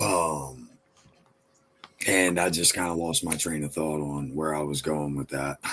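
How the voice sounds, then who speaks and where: A man speaks with a very deep, low pitch and monotone, flat intonation at a fairly slow pace. Long, frequent pauses break his speech amid noticeable background noise. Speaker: rapper. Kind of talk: casual interview.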